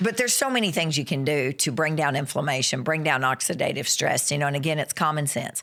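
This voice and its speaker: The speaker has an American accent and an animated tone, talking at a very fast pace with hardly any pauses. Noticeable background noise is present. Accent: Southern US (self-described redneck accent). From western Kentucky, US South. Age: 50s. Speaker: nurse practitioner and author. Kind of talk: casual interview chat.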